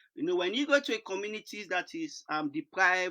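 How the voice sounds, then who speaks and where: A man's raised, projected voice, bright and sharp in tone with very wide pitch swings, in a dry, close sound with no echo and a very clean recording against a silent background. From Sierra Leone. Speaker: charity founder, conference speaker. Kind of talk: conference presentation. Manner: hesitant, many fillers.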